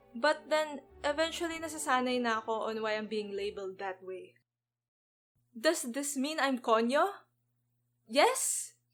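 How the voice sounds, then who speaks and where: Very wide pitch swings from a woman talking at an even, middling speed. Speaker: animator and YouTuber. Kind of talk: scripted narration. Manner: code-switching between English and Tagalog.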